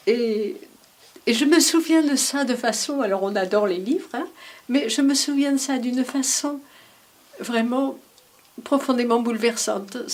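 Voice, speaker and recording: The speech comes at a fairly slow pace with ordinary pitch variation and long, frequent pauses. Noticeable background noise runs underneath. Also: woman, high pitch for a woman. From Paris region, France. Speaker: daughter of a resistance fighter. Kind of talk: testimony. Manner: halting.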